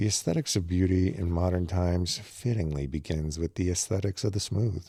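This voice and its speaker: Calm and somewhat breathy, a man speaks in a dark, mellow tone with a very deep, low pitch and ordinary pitch variation. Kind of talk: audiobook reading of a philosophy text. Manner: slow, calm, measured.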